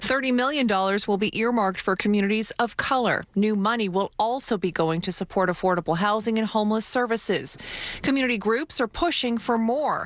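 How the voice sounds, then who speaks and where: This woman has a plain, everyday voice, fairly high in pitch with ordinary pitch variation, speaking at a fairly quick pace with very even loudness. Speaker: TV news reporter. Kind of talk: TV news report voiceover.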